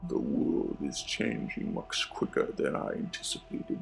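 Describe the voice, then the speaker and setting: A man puts on a character voice with an extremely high pitch. He talks at a moderate pace over clear background noise. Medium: read story.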